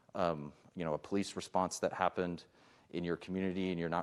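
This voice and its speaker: A man with a very deep, low voice speaks at a fairly quick pace in a monotone, flat intonation. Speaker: police chief. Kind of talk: public forum presentation. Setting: public meeting.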